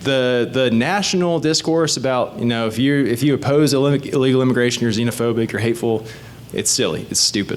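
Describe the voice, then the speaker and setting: A man talks fairly quickly over noticeable background noise. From born in the Caribbean. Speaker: state legislator running for reelection. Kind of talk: candidate talk at community meeting. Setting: community meeting with audience. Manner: animated.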